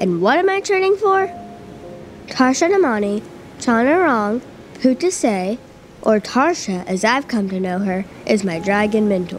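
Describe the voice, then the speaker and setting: A woman with a fairly high pitch talks at a fairly slow pace in an animated tone, with very wide pitch swings, long, frequent pauses and noticeable background noise. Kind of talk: literary audiobook reading, first-person fantasy narration performed with dramatic flair. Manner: animated, urgent, tense, building suspense.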